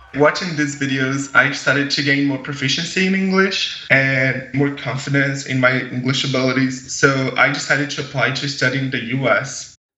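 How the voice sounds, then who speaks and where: Noticeable background noise sits behind a man with a fairly high pitch who talks at a moderate pace with fairly even intonation and hardly any pauses. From Brazil, Minas Gerais countryside. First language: Portuguese. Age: 20s. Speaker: young agriculture ambassador and student. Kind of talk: interview storytelling.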